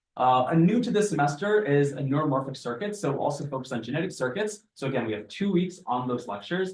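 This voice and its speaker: A man speaks at a very fast pace with hardly any pauses, his pitch fairly high and his intonation lively. His voice is somewhat breathy. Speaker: teaching assistant. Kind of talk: lecture. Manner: animated.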